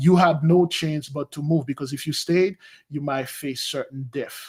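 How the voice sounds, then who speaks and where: Somewhat breathy delivery in a Haitian accent, moderate pace, fairly even intonation, on a very clean recording with a silent background. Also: man, fairly high pitch for a man. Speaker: spiritual advisor. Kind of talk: interview.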